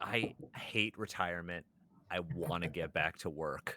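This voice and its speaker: In a put-on character voice, a man speaks at a fairly slow pace with a very deep, low pitch and a weary tone. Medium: actual play. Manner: weary, exasperated.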